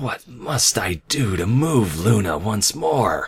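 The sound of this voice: A man's put-on character voice, fairly low and husky with a rough edge and vocal fry, slow, with big pitch swings.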